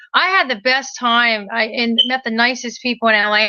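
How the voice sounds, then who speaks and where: A woman with a slight Maryland accent speaks at a moderate pace, her high pitch bright and sharp in tone, with ordinary pitch variation. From Maryland, Hagerstown. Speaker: inspirational singer. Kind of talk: casual interview chat.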